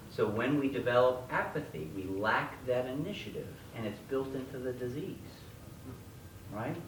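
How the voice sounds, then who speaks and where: Speaking at a moderate pace, a man has a medium pitch. Audible room echo and noticeable background noise surround his voice. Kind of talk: lecture. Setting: stage with audience. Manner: loud; animated.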